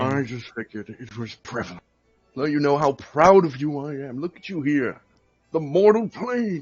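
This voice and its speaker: A man uses a put-on character voice with a fairly high pitch. He talks at a moderate pace over faint music in the background. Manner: sinister.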